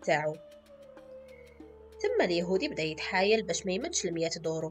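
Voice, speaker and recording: There is music in the background as a woman speaks with an Algerian accent. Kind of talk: folk tale storytelling.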